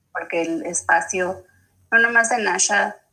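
This woman's tone is bright and sharp. She talks fairly slowly. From Mexico, Chihuahua. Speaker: speech-language pathologist. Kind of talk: interview.

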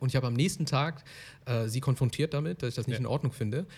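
Very fast and somewhat breathy, a man speaks at a medium pitch with ordinary pitch variation, recorded very cleanly against a silent background. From Germany. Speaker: podcast host. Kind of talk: interview.

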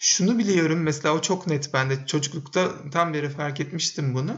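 An ordinary speaking voice, fairly high for a man, comes at a moderate speed. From Turkey, Bursa. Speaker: podcast co-host, men's circle facilitator. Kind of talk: casual interview chat.

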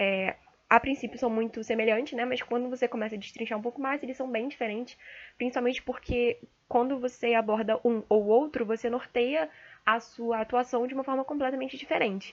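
Speaking at a fairly quick pace, a woman uses a high pitch and fairly even intonation. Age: young. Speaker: medical student. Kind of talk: solo monologue podcast. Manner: hesitant, many fillers.

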